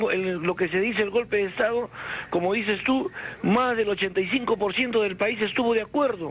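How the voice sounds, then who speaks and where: Moderately paced male speech, high in pitch with ordinary pitch variation, over noticeable background noise. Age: 60s. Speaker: caller. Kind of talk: radio call-in. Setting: phone call.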